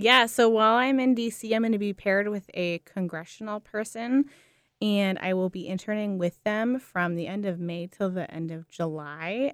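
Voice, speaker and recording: A woman with an American accent and an unremarkable speaking voice, medium pitch and ordinary pitch variation, at a moderate pace in a dry, close sound with no echo. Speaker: foster care case manager and social work student. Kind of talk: radio interview.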